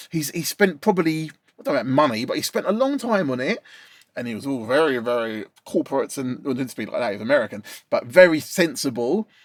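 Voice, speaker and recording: An animated man talks very fast in a fairly high pitch, his voice swinging very widely up and down. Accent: Essex. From East London / Essex, England. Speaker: mixing and mastering engineer, channel host. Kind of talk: casual chat. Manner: casual, animated.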